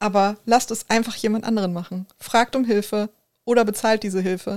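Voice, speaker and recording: This woman speaks with a Ruhr accent at a fairly high pitch. Her intonation stays flat and monotone. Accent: Ruhr area German. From Ruhr area, Germany. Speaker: podcast co-host. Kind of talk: casual chat.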